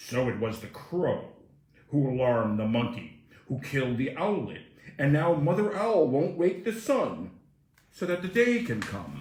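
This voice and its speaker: Someone uses a put-on character voice with very wide pitch swings and a slight echo. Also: man, fairly high pitch for a man, moderate pace. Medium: read story. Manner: formal, solemn, repetitive.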